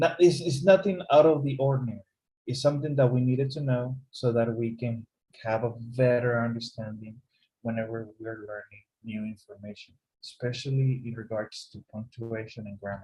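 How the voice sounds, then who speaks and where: At a moderate pace, a man with a medium pitch sounds somewhat breathy, his loudness swinging widely. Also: ordinary pitch variation. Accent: Spanish. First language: Spanish. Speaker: English teacher. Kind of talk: online class lecture.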